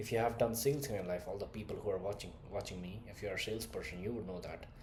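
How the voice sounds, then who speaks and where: With a slight Indian accent, a man speaks amid audible room echo. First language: not English (third language). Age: 20s. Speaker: communication skills coach. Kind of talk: motivational talk to camera. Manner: direct, animated.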